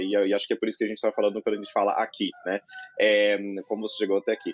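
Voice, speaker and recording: A man's voice comes through in a dry, close sound with no echo. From Greater São Paulo, Brazil (Carapicuíba, Osasco). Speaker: law professor, panelist. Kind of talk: panel discussion. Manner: halting, many filler sounds.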